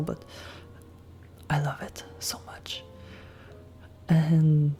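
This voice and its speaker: Soft-spoken and relaxed in tone, a woman talks at a very deep, low pitch with lively intonation over noticeable background noise. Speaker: ASMR content creator. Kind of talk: ASMR soft talking update to camera. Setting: Blue Yeti microphone, close-mic'd. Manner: soft-spoken, relaxed.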